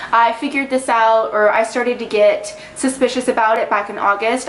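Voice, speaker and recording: A woman speaking at a fairly high pitch and a fairly quick pace amid noticeable background noise. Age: 20s. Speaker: vlogger. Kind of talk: personal vlog monologue. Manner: fast; animated.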